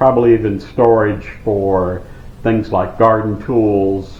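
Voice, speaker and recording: Very slowly, a man speaks in a flat monotone. Noticeable background noise and audible room echo surround his voice. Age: 60s. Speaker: off-grid vlogger. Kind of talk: casual vlog Q and A.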